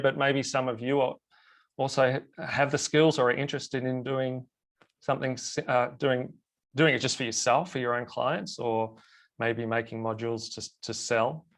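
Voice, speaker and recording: A medium-pitched male voice with an Australian accent, fairly even intonation and a moderate pace, over a quiet background. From Australia, Melbourne. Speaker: web designer and plugin developer. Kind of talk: webinar presentation. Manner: halting.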